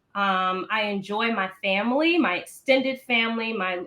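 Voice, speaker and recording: A woman speaks with a bright, sharp tone at a fairly high pitch. Her bubbly delivery carries a slight Maryland accent. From Maryland, US East Coast. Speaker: founder of a children's reading organization. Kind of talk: interview.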